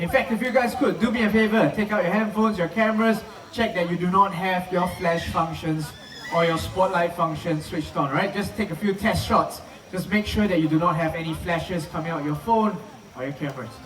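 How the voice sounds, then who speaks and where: Speaking with a Chinese accent, a man talks at a fairly quick pace in a high pitch with ordinary pitch variation. Audible room echo and noticeable background noise fill the recording. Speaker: live show presenter at a wildlife park. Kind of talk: live show presentation to an audience. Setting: outdoor amphitheater with audience. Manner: animated, energetic.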